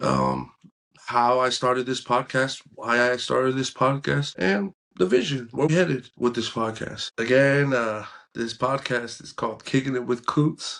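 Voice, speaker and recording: A man with an American accent and a medium pitch speaks at a fairly slow pace with ordinary pitch variation. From San Francisco Bay Area, California (Pacifica). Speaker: podcast host. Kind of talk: casual monologue.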